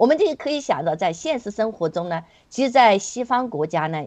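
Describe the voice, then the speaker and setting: Very wide swings in pitch from a woman with a fairly high voice. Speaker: activist guest. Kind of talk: casual chat.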